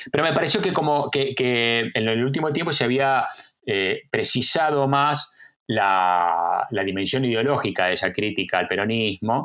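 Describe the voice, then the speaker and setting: Speaking at a moderate pace, the man keeps his pitch in the medium range. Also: very even loudness. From Argentina. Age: 50s. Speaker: historian. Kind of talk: interview. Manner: halting.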